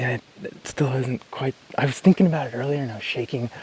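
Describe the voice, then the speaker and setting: Speaking at a fairly quick pace, a man at medium pitch is heard against noticeable background noise. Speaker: bowhunter. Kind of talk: casual chat. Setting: outdoors. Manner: animated.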